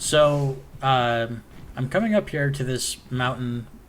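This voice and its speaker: A man at a medium pitch keeps his intonation fairly even, with audible room echo around him. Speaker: gaming YouTuber. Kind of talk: gameplay commentary. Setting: voiceover recorded while rewatching footage. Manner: halting, many fillers.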